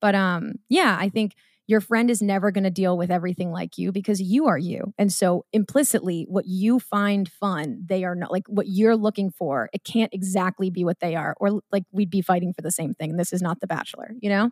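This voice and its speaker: A woman with an American accent speaks in a plain, everyday voice, medium in pitch with ordinary pitch variation and hardly any pauses. The sound is dry and close with no echo, on a very clean recording with a silent background. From Massachusetts, Marblehead (near Salem). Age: 20s. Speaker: content creator and podcaster. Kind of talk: casual chat.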